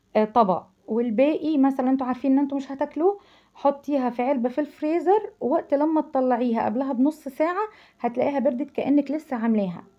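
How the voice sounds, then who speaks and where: Speaking with an Egyptian accent, a woman has lively intonation and an animated tone. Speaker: cooking channel host. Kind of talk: cooking tutorial. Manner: halting, repeats syllables; chatty, animated.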